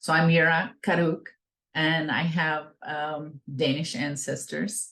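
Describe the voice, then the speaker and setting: Very deep, low pitch from a woman with an American accent. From Northern California, Klamath River region. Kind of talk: invited talk.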